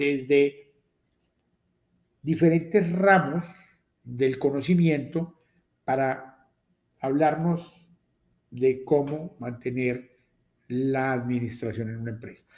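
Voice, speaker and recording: This man has a dark, mellow tone, a fairly high pitch and ordinary pitch variation. He speaks with a Latin American accent. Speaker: university lecturer. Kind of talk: lecture.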